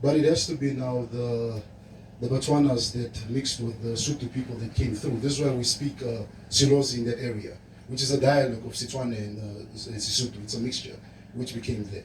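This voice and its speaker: Speaking at a fairly quick pace, a man with a medium pitch is heard over noticeable background noise. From Namibia, Zambezi region. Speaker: livestock farming presenter. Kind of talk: presentation at event. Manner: animated.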